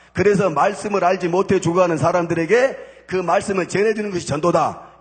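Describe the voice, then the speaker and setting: Very fast, a man speaks in a high pitch with fairly even intonation. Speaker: former gangster turned church deacon giving testimony. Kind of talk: church testimony sermon.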